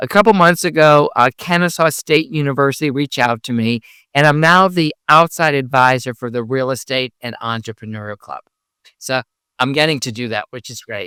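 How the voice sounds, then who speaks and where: A man with an American accent speaks in a bright, sharp tone at a fairly high pitch and a fairly quick pace, with ordinary pitch variation and big swings in loudness. The recording is very clean, with a silent background and a dry, close sound with no echo. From Connecticut, US. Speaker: CPA and real estate investor. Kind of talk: interview. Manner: speaks carefully, some words hard to pronounce.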